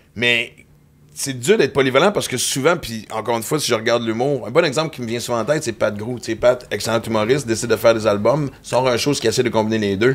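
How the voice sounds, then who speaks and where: This man speaks at a very fast pace in a Quebec accent. His pitch is medium, with ordinary variation. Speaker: comedian and podcast host. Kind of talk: casual chat.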